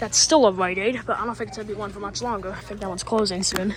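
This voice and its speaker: A man's whispering at a fairly quick pace, with noticeable background noise. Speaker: store tour vlogger. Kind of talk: walking tour vlog. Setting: inside a retail store. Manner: hesitant, many fillers.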